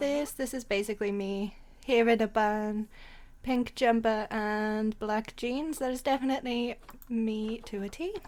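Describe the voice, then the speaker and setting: A woman speaks with a Welsh accent at a fairly slow pace and a fairly high pitch. The recording is very clean, with a silent background. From Wales. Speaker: gaming YouTuber. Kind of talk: casual let's play commentary. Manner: excited, upbeat.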